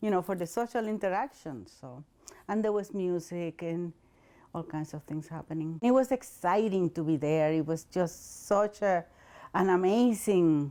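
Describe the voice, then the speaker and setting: A woman with a Spanish accent speaks at a moderate pace in a fairly low pitch, with ordinary pitch variation. Her tone is dark and mellow, and the recording is very clean with a silent background. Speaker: interviewee in documentary, former hospital worker and translator. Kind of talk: interview testimony.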